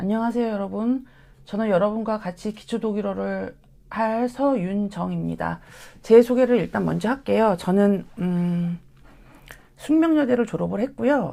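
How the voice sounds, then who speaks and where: A woman with a dark, mellow tone and medium pitch, ordinary pitch variation, on a very clean recording with a silent background. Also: fairly slow pace. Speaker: German language lecturer. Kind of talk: course information session.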